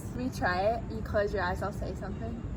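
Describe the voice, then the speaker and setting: A woman's voice is heard with audible room echo and noticeable background noise. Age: young. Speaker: YouTuber, college student. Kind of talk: casual chat. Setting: outdoors.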